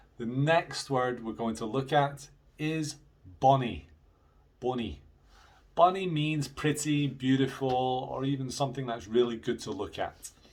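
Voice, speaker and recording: A man with a slight Scottish accent talks at a fairly slow pace, with long, frequent pauses. His medium-pitched voice is somewhat breathy and shows ordinary pitch variation. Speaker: English teacher. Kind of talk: video lesson for students. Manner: casual, conversational.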